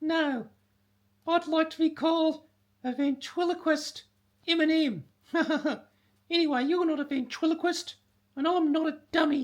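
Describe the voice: Using a put-on character voice of extremely high pitch, a man speaks at a moderate pace with long, frequent pauses.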